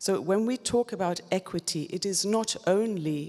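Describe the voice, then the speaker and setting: Ordinary pitch variation marks speech delivered fairly slowly. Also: woman. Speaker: policy panel speaker. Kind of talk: panel discussion. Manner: measured.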